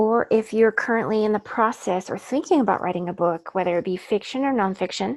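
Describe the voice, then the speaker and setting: A normal speaking voice from a woman, fairly high in pitch, with ordinary pitch variation, a fairly quick pace and hardly any pauses. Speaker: author and book coach. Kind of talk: webinar workshop presentation. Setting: online webinar.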